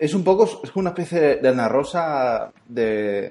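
The voice belongs to a man. It sounds dark and mellow. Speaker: podcast host. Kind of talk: casual chat.

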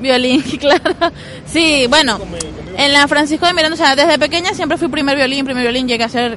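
There is noticeable background noise as a woman talks at a high pitch. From Venezuela, Zulia and Guarenas. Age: 20s. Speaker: violinist. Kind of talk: interview. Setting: outdoors.

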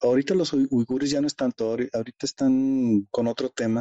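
A man is speaking. His pace is moderate. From Mexico, Monterrey. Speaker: mathematician and China expert. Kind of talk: interview conversation. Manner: halting, many fillers.

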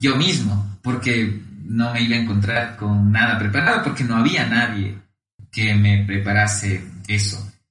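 The man's voice holds a medium pitch and shows ordinary pitch variation. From Ecuador, Cuenca. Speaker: economist. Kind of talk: interview. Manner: hesitant, frequent fillers and repetitions.

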